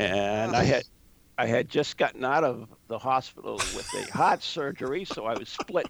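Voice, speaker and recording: A man's voice with vocal fry and lively intonation, at a moderate pace. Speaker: ghost investigator and author. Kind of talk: casual interview chat.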